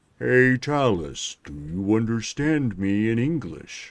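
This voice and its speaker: A man uses a put-on character voice at a medium pitch and a fairly slow pace. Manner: slow drawl.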